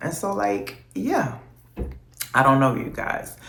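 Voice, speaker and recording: Amid audible room echo, a woman speaks at a very deep, low pitch and a moderate pace. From US South, New Orleans and Texas. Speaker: vlogger. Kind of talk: casual vlog monologue.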